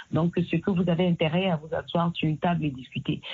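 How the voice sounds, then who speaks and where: A woman speaks with a normal speaking voice at a fairly low pitch. Her pace is fairly quick. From Cameroon. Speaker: singer and activist. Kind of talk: interview. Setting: phone call.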